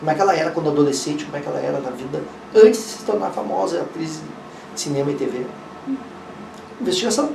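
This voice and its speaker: The man speaks very fast at a fairly high pitch, with big swings in loudness and long, frequent pauses. The room echo is audible, and there is noticeable background noise. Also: lively intonation. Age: 60s. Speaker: investigative journalist. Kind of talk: interview.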